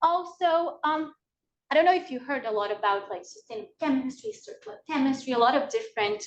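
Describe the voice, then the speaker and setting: A woman's high voice at a fairly quick pace, with very wide pitch swings. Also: big swings in loudness. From Brazil. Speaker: PhD student presenter. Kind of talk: workshop lecture. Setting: video call. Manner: fast.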